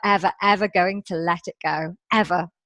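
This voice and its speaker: A woman with a British accent, heard over a quiet background in dry, close sound with no echo. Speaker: positive psychologist and coach. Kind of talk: interview.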